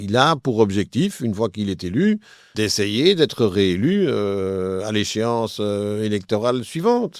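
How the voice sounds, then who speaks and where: Very slow, fairly low-pitched male speech with ordinary pitch variation. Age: 60s. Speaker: politician. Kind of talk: interview. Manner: halting, frequent hesitations.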